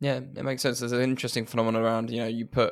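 Very fast man's speech at medium pitch, with vocal fry and fairly even intonation, very clean recording and silent background. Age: 20s. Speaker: podcast host. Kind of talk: casual interview.

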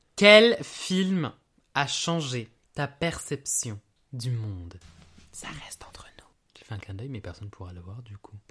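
A man at a very slow pace, with long, frequent pauses, very wide pitch swings and big swings in loudness, on a very clean recording with a silent background. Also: fairly high pitch for a man. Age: 20s. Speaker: podcast host's boyfriend, student. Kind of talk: casual chat. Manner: quiet.

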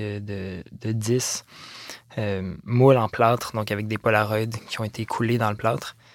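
A man with a Quebec accent at medium pitch and a fairly slow pace. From Quebec, Montreal. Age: 20s. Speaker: visual artist. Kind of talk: interview. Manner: halting.

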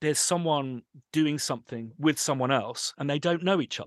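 In a dry, close sound with no echo and a quiet background, a man speaks at fairly high pitch and a moderate pace. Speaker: composer and sample library company owner. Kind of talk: interview conversation. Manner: animated.

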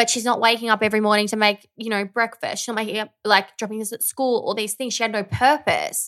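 Speaking at a very fast pace, a woman with an Australian accent keeps a fairly even intonation at a fairly high pitch. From rural Victoria, Australia. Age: 30s. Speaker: podcast co-host. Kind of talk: casual chat.

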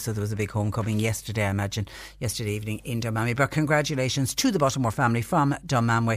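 A woman with an Irish accent, very deep and low in pitch, at a very fast pace. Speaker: radio phone-in host. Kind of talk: radio phone-in show. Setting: radio studio.

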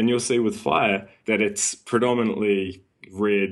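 A man speaks with a New Zealand accent. His pitch is fairly low and his intonation fairly even. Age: 20s. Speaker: personal trainer and sleep coach. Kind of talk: casual interview.

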